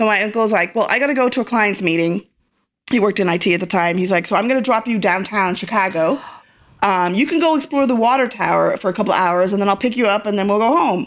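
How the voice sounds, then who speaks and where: Her loudness stays very even as a woman talks at a very fast pace. She speaks at medium pitch, with ordinary pitch variation. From Ireland. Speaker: interview guest. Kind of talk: personal storytelling interview.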